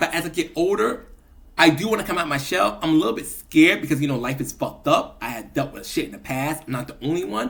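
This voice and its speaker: A fairly high male voice with vocal fry, lively intonation and a very fast pace. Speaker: vlogger. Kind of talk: casual monologue vlog.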